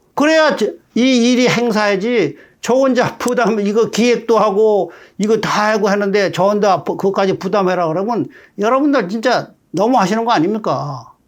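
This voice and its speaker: A high-pitched man at a moderate pace with ordinary pitch variation. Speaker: war veteran. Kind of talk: monologue. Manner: conversational.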